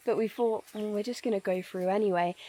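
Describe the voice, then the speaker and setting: A woman is speaking. She has a northern English accent. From northern England. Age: 20s. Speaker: travel vlogger. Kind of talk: casual vlog chat. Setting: outdoors. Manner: animated.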